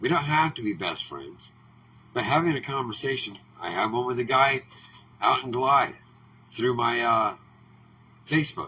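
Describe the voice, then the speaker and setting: A man with an American accent speaks at a moderate pace and a medium pitch. Long, frequent pauses break his speech, with noticeable background noise behind him. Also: ordinary pitch variation. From Oregon. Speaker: political commentator. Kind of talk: political monologue. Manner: animated.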